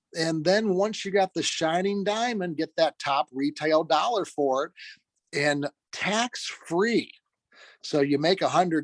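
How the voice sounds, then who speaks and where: Recorded dry and close with no echo in a very clean take with a silent background, a man with a high pitch speaks fairly slowly with lively intonation. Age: 60s. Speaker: real estate trainer. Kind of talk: lecture. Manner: many filler words and hesitations.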